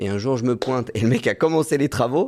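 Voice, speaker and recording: Recorded very cleanly with a silent background, a man with a plain, everyday voice speaks at a fairly quick pace, at medium pitch with ordinary pitch variation. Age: 20s. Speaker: medical intern and real estate investor. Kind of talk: podcast interview.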